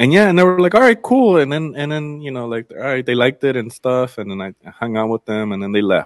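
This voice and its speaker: Speaking in an American accent, a man moves his pitch through very wide swings. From Los Angeles (Inglewood and Culver City), Mexican family from Zacatecas. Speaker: food journalist. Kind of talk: casual interview. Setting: podcast. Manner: casual, many fillers.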